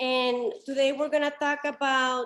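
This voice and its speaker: A woman speaks in a high voice at a fairly slow pace. Her intonation is monotone and flat. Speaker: documentary photographer. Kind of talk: presentation talk.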